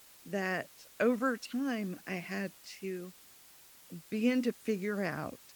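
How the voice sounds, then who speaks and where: A woman speaks quietly at a very slow pace. Her pitch sits in the middle of her range, with ordinary variation. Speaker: business owner, CEO of a sign company. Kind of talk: podcast interview.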